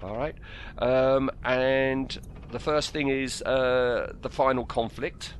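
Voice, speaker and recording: A man with an English accent speaks at a very slow pace. His medium pitch carries monotone, flat intonation. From England. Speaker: film podcast co-host. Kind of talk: casual chat. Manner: halting.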